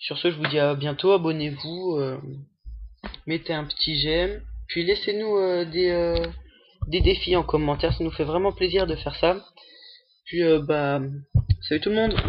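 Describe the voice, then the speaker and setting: A man speaks in a high pitch at a fairly slow pace. He leaves long, frequent pauses. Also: fairly even intonation. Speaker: gaming youtuber. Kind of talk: gameplay commentary. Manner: hesitant, many fillers.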